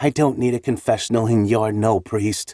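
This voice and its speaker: A man puts on a character voice at a medium pitch with fairly even intonation. His moderate pace comes through in a dry, close sound with no echo. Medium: read story. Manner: steady, defiant.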